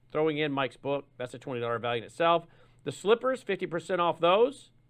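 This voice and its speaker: A man in an ordinary speaking voice, at a fairly quick pace, with lively intonation. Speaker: fill-in radio and TV host. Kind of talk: news talk show hosting.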